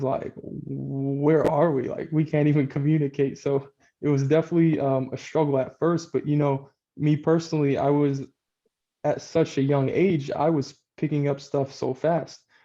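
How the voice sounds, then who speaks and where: Flat and monotone, a man speaks with an American accent in a dark, mellow tone. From Texas. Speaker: real estate investor, former basketball player. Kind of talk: interview. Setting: video call.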